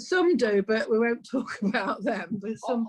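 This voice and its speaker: Speaking with an East Midlands accent, a woman uses a fairly high pitch and lively intonation. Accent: North Nottinghamshire, East Midlands. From North Nottinghamshire, near Derbyshire, now living in southern England.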